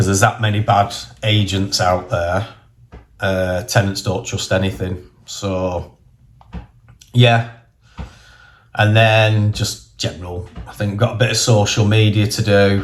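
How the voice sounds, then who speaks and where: A somewhat breathy voice in a northern English accent, at a very slow pace with long, frequent pauses and fairly even intonation. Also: man. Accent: northern English twang. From northern England. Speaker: property investor and vlogger. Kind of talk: casual vlog monologue. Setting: in a car. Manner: casual, conversational.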